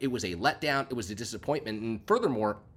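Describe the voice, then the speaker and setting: A man with a normal speaking voice, medium pitch, fairly quick pace and lively intonation, on a very clean recording with a silent background. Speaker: sports podcast host. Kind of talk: solo podcast commentary. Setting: recording while on vacation. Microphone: audio issues.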